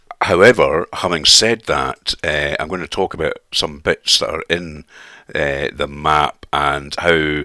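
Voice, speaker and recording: A man with a Scottish accent talks at a fairly slow pace. The sound is dry and close, with no echo. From Scotland. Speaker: sim racing YouTuber. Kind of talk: video commentary. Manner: halting.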